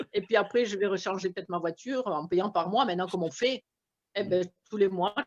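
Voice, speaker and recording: An ordinary speaking voice from a woman, medium in pitch, fairly quick in pace, with ordinary pitch variation. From France. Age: 60s. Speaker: retired shopkeeper, investor. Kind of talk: testimony.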